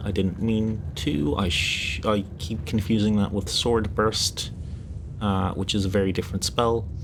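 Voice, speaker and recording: A man's fairly low voice at a very slow pace over noticeable background noise. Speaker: streamer. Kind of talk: casual livestream talk about tabletop games. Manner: hushed, whispery.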